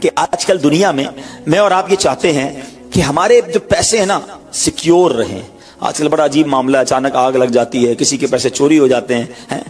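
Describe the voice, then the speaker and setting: A man speaks in a fairly high pitch with lively intonation. There is noticeable background noise. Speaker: Islamic preacher. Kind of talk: Islamic sermon (bayan) delivered to an audience.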